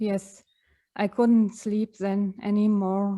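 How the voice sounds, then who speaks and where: Soft-spoken and monotone, a woman with a fairly high pitch and a dark, mellow tone is heard in a very clean recording with a silent background. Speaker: retreat participant. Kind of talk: sharing personal experience. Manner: halting.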